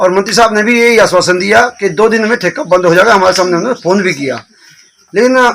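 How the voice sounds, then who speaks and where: A man with a high voice talks, his pitch rising and falling in an ordinary way. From Himachal Pradesh, Bilaspur district. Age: 60s. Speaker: villager. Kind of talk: protest interview.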